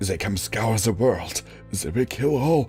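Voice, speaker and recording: Speaking at a fairly slow pace, a man puts on a character voice at a medium pitch while clear music plays in the background. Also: lively intonation. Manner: very quiet, barely audible.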